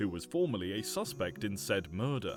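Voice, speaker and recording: The speaker's pitch swings very widely at a moderate pace, with music in the background. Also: man. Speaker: reddit story narrator. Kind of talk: reddit story narration.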